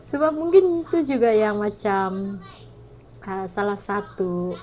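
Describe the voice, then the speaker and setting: A woman with a strong Sabahan accent speaks at a very slow pace, with a medium pitch. Her voice is somewhat breathy and swings very widely in pitch. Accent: thick Sabahan Malay. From Sabah, Malaysia. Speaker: vlogger. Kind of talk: casual vlog talk. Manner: hesitant, many fillers.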